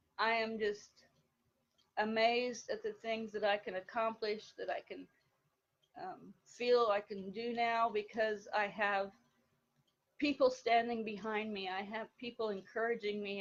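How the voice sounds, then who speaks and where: A woman talks at a fairly slow pace with a fairly high pitch. Her intonation is fairly even, and long, frequent pauses break up her speech. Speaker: organization member giving testimonial. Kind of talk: testimony. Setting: live video stream. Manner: quiet; hesitant, filler words.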